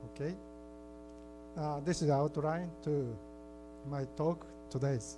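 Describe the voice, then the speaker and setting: A man speaks in a Japanese accent at a fairly high pitch with fairly even intonation. Room echo is audible. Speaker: keynote speaker, library researcher. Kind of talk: conference keynote presentation. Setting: conference hall with audience. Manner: halting.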